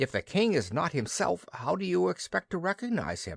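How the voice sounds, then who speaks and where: A man's put-on character voice, hoarse and fairly high, with very wide pitch swings, a moderate pace and a quiet background. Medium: read story.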